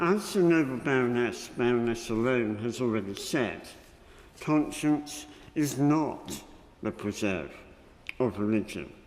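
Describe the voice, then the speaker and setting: A man with a British accent speaks at a medium pitch and fairly slow pace, with long, frequent pauses. There is audible room echo and noticeable background noise. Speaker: member of the House of Lords. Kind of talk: parliamentary speech. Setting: parliamentary chamber. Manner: slower than usual; formal.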